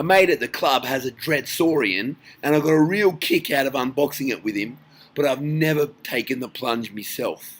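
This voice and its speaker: Delivered at a moderate pace with ordinary pitch variation, the voice carries an Australian accent. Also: man. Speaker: tabletop gaming youtuber. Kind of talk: casual vlog commentary.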